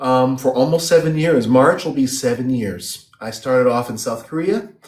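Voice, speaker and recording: With a Chicago accent, a man speaks at a medium pitch. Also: ordinary pitch variation, moderate pace. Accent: Chicago American English. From US Midwest (Chicago, Illinois). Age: 30s. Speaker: English teacher abroad. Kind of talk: interview on a live stream.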